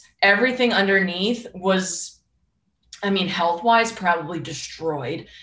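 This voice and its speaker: Audible room echo surrounds a woman who speaks fairly slowly with ordinary pitch variation. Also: medium pitch for a woman. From Boston, US Northeast. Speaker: life coach. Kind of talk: interview.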